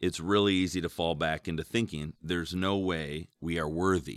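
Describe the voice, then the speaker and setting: A man's very deep, low voice. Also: dry, close sound with no echo, very clean recording, silent background. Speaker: church podcast host. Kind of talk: devotional panel discussion. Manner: joking, casual.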